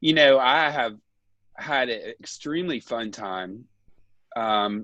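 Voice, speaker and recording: Speaking very slowly, a man with an American accent has a medium pitch and ordinary pitch variation. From Ohio, US Midwest. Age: 60s. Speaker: dentist. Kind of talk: casual interview chat. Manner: halting, many fillers.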